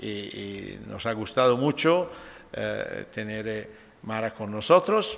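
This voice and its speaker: A man with an Italian accent speaks at a very slow pace. His loudness swings widely, and room echo is audible. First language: Italian (speaking Spanish). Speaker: nephrologist. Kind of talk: lecture. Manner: halting.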